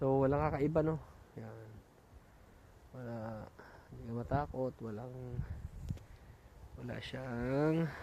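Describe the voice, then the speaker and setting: A soft-spoken man talks at a fairly slow pace with long, frequent pauses, his medium pitch and fairly even intonation set in audible room echo. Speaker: vlogger. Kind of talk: walking vlog. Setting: outdoors, mountain park.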